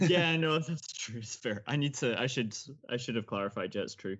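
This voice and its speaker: He speaks with a Scottish accent. The man's pace is fairly quick. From Scotland. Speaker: podcast host. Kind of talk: casual interview chat.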